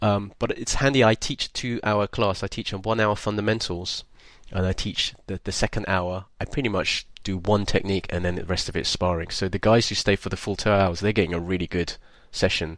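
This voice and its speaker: An ordinary speaking voice from a man, fairly low in pitch and fairly quick, with fairly even intonation against a quiet background. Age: 50s. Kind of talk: casual chat.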